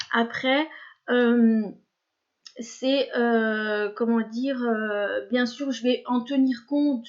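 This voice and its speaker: Her voice sits high. The woman speaks in a monotone, flat way. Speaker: therapist and video blogger. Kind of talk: spontaneous vlog monologue. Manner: slow; halting, many fillers.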